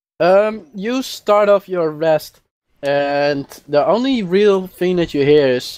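A man speaks at a slow pace with ordinary pitch variation. His tone is slightly mellow.

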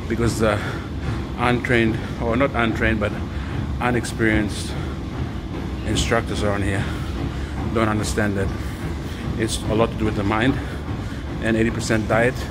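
With loud background noise behind him, a man speaks at a moderate pace with ordinary pitch variation and long, frequent pauses. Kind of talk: casual vlog chat. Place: gym. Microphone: phone near.

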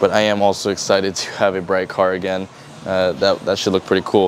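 A man's fairly low voice at a fairly quick pace, dry with no echo, over light background noise. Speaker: channel host. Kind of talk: casual vlog chat. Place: garage.

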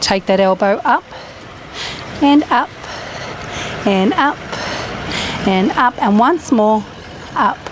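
A woman with a fairly high pitch speaks in a calm tone with lively intonation, the sound dry with no echo and carrying light background noise. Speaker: fitness instructor. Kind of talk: exercise class instruction, guided workout. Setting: outdoors at campsite. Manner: encouraging, calm; upbeat, casual, chatty. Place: garden.

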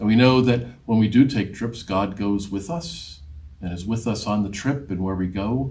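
The reading voice sounds unforced. Pitch rises and falls in an ordinary way.

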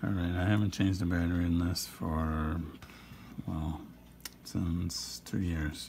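A man's very deep, low voice, somewhat breathy, with fairly even intonation. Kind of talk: ASMR watch repair talk to camera. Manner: soothing, relaxing.

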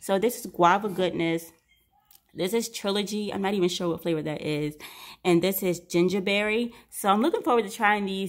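With ordinary pitch variation, a woman talks at a fairly quick pace over a quiet background. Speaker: vlogger mother. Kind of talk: casual grocery haul vlog chat. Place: kitchen. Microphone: phone near.

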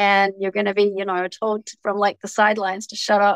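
Speaking at a fairly quick pace with a New Zealand accent, a woman keeps a medium pitch in a dry sound with no echo against a quiet background. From New Zealand, Auckland. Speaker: TV personality; interview guest. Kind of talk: casual chat. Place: home room. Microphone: video call.

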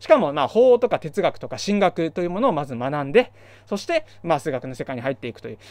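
A man's high-pitched voice at a very fast pace, dry with no echo. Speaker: math education YouTuber. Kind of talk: solo lecture-style talk. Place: home room. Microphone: studio mic.

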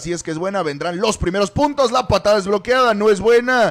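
A man talks with lively intonation. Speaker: sports commentator. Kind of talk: live commentary. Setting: stadium broadcast. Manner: fast, rapid-fire play-by-play; excitable on big plays.

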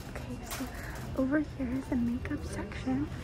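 A soft-spoken woman talks at a fairly slow pace. Noticeable background noise can be heard. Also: dry sound with no echo. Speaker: ASMR vlogger. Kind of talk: ASMR store walkthrough. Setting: inside a store. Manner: relaxed, casual. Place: shop.

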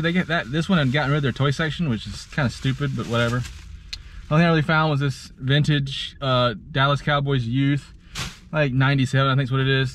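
A somewhat breathy man speaks at a very fast pace. The sound is dry with no echo, with light background noise. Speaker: thrift reseller vlogger. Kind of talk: casual vlog chat. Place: car. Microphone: phone near.

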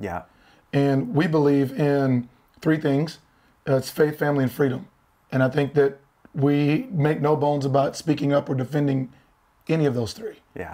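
A man speaks with a dark, mellow tone and fairly even intonation. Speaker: podcast guest. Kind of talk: interview answer. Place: studio.

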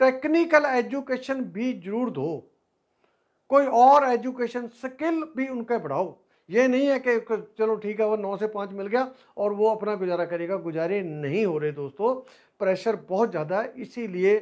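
Man at a high pitch, fairly slow, with lively intonation and a quiet background. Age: 60s. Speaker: personal finance YouTuber; teacher. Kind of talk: advice talk to camera; lecture. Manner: conversational, halting. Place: classroom. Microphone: lapel.

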